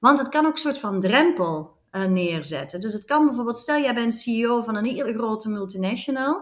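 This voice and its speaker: Speaking at a moderate pace with hardly any pauses, a woman's fairly high voice swings very widely in pitch. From Flanders, Belgium. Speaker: commercial director. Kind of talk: interview. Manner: energetic.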